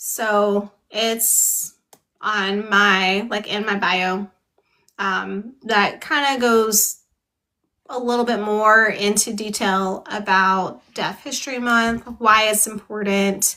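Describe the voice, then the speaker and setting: The voice has a bright, sharp tone and a flat monotone delivery at a very slow pace. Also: woman, fairly high pitch for a woman. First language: American Sign Language. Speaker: book club host. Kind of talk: casual live-stream chat.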